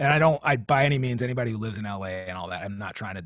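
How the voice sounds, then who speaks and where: At a very fast pace, a man with a Californian accent talks in a fairly low voice with lively intonation. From Southern California (Long Beach, Riverside County). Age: 40s. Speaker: drummer. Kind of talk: casual chat.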